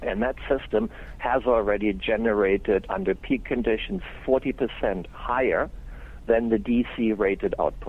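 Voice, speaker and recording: In a German accent, a man speaks at a fairly slow pace. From Germany. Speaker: solar company owner and engineer. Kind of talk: interview.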